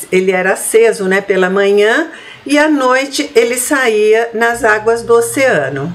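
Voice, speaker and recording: Speaking at a fairly slow pace, a woman has a fairly high pitch. Noticeable background noise and audible room echo are present. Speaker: spiritist lecturer. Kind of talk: lecture. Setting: online meeting.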